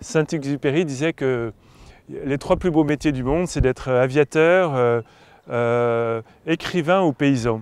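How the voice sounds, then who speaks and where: A man speaks at a very slow pace, his pitch fairly high with ordinary variation. The sound is dry and close, with no echo. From France, Paris. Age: 60s. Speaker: farmer and author. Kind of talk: interview monologue. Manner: halting, many hesitations and repetitions.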